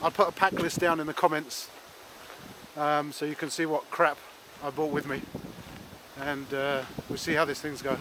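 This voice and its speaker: Amid noticeable background noise, a man with an English accent and a fairly high voice speaks at a moderate pace in a monotone, flat intonation with long, frequent pauses. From England. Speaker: vlogger. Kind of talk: casual vlog narration. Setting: outdoors. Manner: halting.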